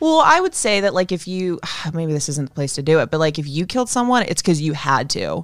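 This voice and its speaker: Music plays in the background as a woman speaks. Her pitch is fairly low and her intonation lively. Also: fairly quick pace. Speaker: true crime podcast co-host. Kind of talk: casual chat.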